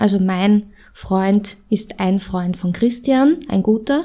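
A woman's somewhat breathy voice, dark and mellow in tone, fairly high in pitch, with ordinary pitch variation and a very slow pace. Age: 30s. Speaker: podcast co-host. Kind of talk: interview.

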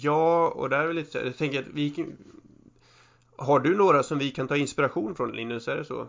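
In an ordinary speaking voice, a man speaks at a moderate pace, his pitch fairly high with ordinary variation. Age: 30s. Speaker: podcast co-host. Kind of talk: casual chat.

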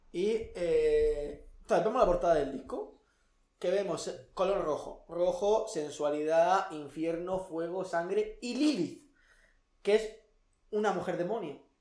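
The pace is very slow. Long pauses come frequently. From outside Spain. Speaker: podcast co-host. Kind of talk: casual chat.

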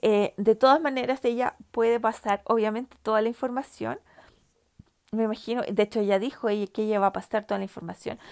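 Fairly quick and fairly even in intonation, a woman speaks in a dry, close sound with no echo. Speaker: podcast host. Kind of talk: casual chat. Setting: home. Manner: halting.

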